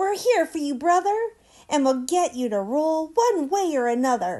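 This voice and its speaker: A woman puts on a squeaky character voice, high-pitched with very wide pitch swings, at a moderate pace. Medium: read story.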